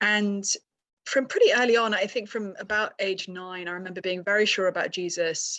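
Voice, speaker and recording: The speaker is a woman with a British accent. She talks at a moderate pace. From UK. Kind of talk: podcast interview.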